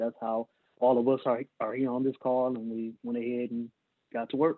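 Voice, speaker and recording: Speaking at a moderate pace with an American accent, this man has a medium pitch and a monotone, flat intonation. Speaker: scholarship organizer. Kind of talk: video call ceremony speech. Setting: video call.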